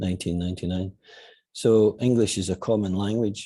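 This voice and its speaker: Here a man speaks in a Scottish accent. His voice is fairly low, with a dark, mellow tone. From Scotland. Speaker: football manager. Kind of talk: interview.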